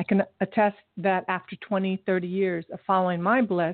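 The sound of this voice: At medium pitch, a woman speaks at a fairly quick pace with little pitch movement.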